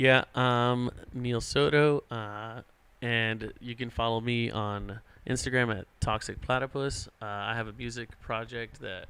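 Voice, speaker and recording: At a fairly slow pace, a man talks at medium pitch in a monotone, flat delivery. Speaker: podcast co-host and DJ. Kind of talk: casual chat.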